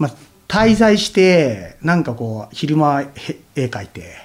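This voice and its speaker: Very wide swings mark this voice's pitch. It belongs to a man. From Tokyo (Nerima), Japan. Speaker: artist and painter. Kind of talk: casual interview.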